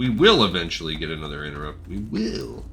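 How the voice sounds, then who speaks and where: A man's robotic, put-on character voice with very deep, low pitch at a very fast pace over clear background noise. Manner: robotic, odd unnatural inflection and tone.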